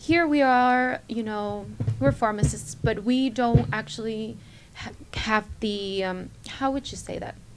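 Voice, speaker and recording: A woman with a slight non-native accent and fairly high pitch, lively intonation, a fairly slow pace, and big swings in loudness, with music in the background. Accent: barely noticeable foreign. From Panama, Chiriqui. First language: Spanish. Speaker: pharmacist. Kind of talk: radio interview.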